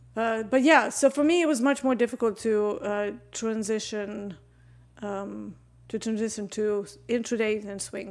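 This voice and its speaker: A woman with a fairly high voice talks at a moderate speed, her pitch shifting in an ordinary way. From Serbia. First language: Serbian. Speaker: trading educator and live streamer. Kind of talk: live-stream trading commentary and Q&A. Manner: somewhat posh English.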